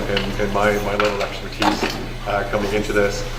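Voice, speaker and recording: A man talks at a fairly quick pace in a fairly low pitch. Noticeable background noise and audible room echo fill the recording. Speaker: government policy advisor on identity law. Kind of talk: public presentation at community session. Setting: community hall with audience. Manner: halting, many fillers and repetitions.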